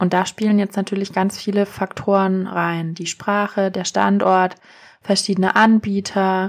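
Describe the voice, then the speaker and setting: The background is silent and the recording very clean. Her intonation stays flat and monotone as the woman talks. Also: medium pitch for a woman, fairly slow pace. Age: 30s. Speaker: SEO consultant and podcast host. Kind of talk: solo explainer podcast. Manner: casual, with frequent fillers.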